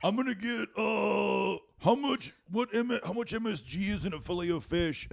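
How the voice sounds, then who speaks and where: A man puts on a character voice with a high pitch. He keeps a moderate pace. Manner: demanding, rude.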